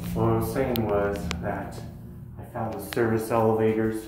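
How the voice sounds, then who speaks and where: Music plays in the background, and the room echo is audible. A man speaks at a fairly slow pace with a fairly low pitch. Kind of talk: casual vlog chat. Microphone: phone near.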